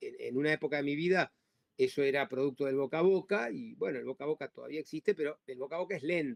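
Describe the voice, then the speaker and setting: Spoken with an Argentine accent at a very fast pace, this voice has ordinary pitch variation and a dry, close sound with no echo. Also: man, fairly high pitch for a man. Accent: Argentine Spanish (Rioplatense). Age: 60s. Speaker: labor lawyer. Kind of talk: interview. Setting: podcast. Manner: halting, many repetitions and fillers.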